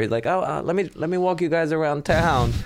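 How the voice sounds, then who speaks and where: Speaking very fast with a Spanish accent, a man is heard with audible room echo. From Puerto Rico. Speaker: stand-up comedian. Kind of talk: casual chat.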